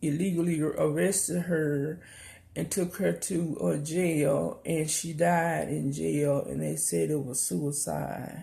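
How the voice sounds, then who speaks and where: The speaker has a Southern US accent. Delivery is very slow. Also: woman. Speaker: YouTube commentator. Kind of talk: casual news commentary. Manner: hesitant, many fillers.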